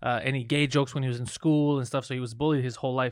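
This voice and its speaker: Over a silent background in a very clean recording, a man talks at a very fast pace. His pitch is medium and his intonation is monotone and flat. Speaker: podcast host; comedian. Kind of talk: casual chat.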